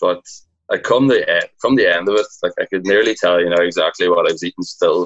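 Talking at a very fast pace, a man speaks with a Donegal accent. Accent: Donegal Irish. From Ireland, Donegal. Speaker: fitness program winner, aspiring personal trainer. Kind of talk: casual chat.

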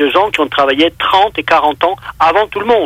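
This is a man speaking. His pitch is high. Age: 60s. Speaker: UFO witness and researcher. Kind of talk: casual interview. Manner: hesitant, repeats words.

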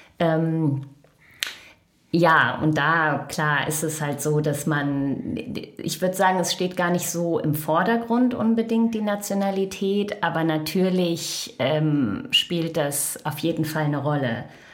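Fairly low woman's voice, very slow and with lively intonation, amid noticeable background noise and audible room echo. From Germany, Lower Rhine (Krefeld). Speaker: United Nations staff member. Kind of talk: interview conversation. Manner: hesitant, many fillers.

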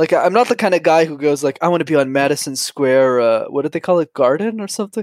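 A man with a Canadian accent and a plain, everyday voice speaks at a fairly high pitch with lively intonation, recorded very cleanly against a silent background. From Montreal, Canada. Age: 20s. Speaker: YouTube creator and public speaking coach. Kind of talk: casual interview chat.

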